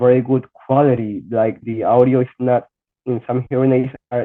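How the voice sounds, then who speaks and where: Here a man with a Spanish accent talks at a medium pitch. His pace is moderate. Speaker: blind student with hearing loss. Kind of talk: podcast interview. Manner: halting.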